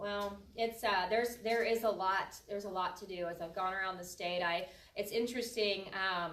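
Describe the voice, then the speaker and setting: A woman with a medium pitch talks at a moderate pace. Her intonation is fairly even, and there is audible room echo. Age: 30s. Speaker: political candidate. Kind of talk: campaign talk. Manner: halting.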